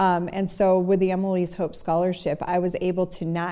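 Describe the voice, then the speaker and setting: Her medium-pitched voice has a dark, mellow tone, and this woman talks at a moderate pace in a monotone, flat intonation. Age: 50s. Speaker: recovering alcoholic. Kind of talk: interview answer.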